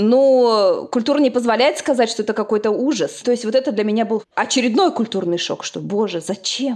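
A woman's unremarkable speaking voice at a moderate pace, with ordinary pitch variation. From Uzbekistan. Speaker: agricultural scientist. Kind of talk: interview.

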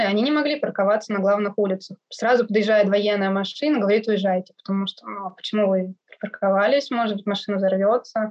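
At a fairly quick pace, a woman speaks in an ordinary speaking voice at medium pitch. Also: ordinary pitch variation. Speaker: Russian expat living in Iraq. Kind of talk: interview conversation.

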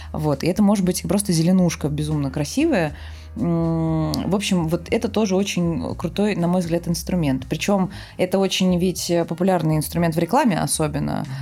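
Music plays in the background as a woman speaks. Her pace is moderate and her loudness stays very even. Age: 30s. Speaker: film production designer. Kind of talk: casual chat. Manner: animated.

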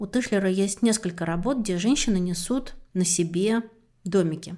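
A woman speaks at a moderate pace in a dark, mellow tone, her medium pitch showing ordinary variation, on a very clean recording with a silent background. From rural Russia. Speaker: podcast host. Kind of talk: interview.

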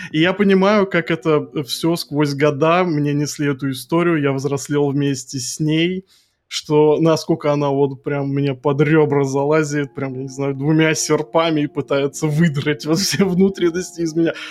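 A man in a normal speaking voice, fairly high in pitch, at a fairly slow pace with fairly even intonation. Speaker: podcast co-host. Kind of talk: casual chat.

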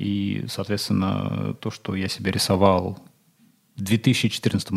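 Monotone, flat intonation in a dark, mellow tone. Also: man. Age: 30s. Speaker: entrepreneur, managing partner of retail chain. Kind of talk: casual interview chat. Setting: studio.

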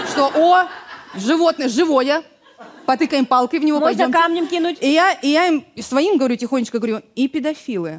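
Over noticeable background noise, a woman talks at a fairly quick pace with a high pitch. Her tone is animated and her intonation lively. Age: 30s. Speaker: comedian. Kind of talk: improvised comedy chat.

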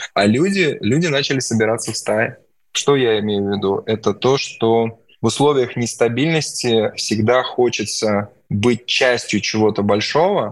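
Medium in pitch, a man talks at a fairly slow pace in an ordinary speaking voice. The recording is very clean, with a silent background. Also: ordinary pitch variation. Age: 40s. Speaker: entrepreneur. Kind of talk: podcast interview.

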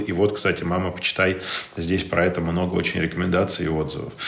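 A man with a very deep, low pitch talks at a very fast pace. Audible room echo and noticeable background noise surround him. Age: 30s. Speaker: digital entrepreneur and father. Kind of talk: casual chat.

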